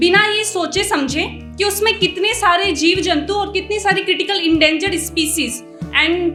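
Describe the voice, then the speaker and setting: A woman's extremely high, raised and projected voice with fairly even intonation over music in the background. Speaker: poet, spoken word performer. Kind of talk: casual talk to audience introducing the poem.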